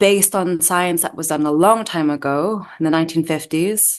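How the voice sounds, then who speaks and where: Over a quiet background, a woman with an American accent speaks at a fairly low pitch with fairly even intonation. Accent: partially American. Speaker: doctor and medical researcher. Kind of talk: interview. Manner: hesitant, with fillers.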